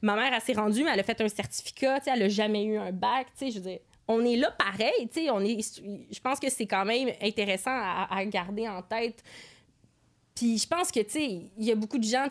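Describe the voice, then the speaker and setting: A woman speaks at a moderate pace in a plain, everyday voice, pitched fairly high, with ordinary pitch variation. The recording is very clean, with a silent background. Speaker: musician and music teacher. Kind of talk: casual chat.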